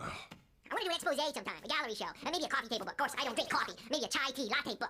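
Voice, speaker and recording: Someone rattles off lines at a very fast pace in a put-on character voice. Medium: short film. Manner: nervous, stammering.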